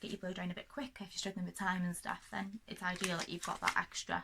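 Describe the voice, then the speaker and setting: A woman with a North Welsh accent, medium in pitch, with a bright, sharp tone and a monotone, flat intonation. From North Wales. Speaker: hairdresser. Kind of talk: casual talk to camera. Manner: fast.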